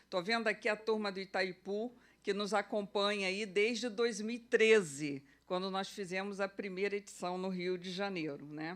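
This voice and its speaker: An unremarkable speaking voice from a woman at medium pitch, with fairly even intonation and a moderate pace, on a very clean recording with a silent background. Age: 60s. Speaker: event curator and organizer. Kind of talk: conference opening speech. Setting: auditorium with audience. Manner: conversational, uses fillers.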